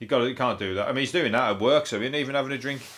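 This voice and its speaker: This man speaks with ordinary pitch variation in a Birmingham accent. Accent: Brummie. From Birmingham, England. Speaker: comedian. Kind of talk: comedy podcast monologue.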